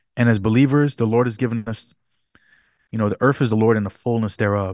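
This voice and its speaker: A man with a normal speaking voice talks at a fairly quick pace and medium pitch, his intonation fairly even and the sound dry and close with no echo. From New York City (Bronx), Jamaican parents. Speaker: worship pastor. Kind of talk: casual interview.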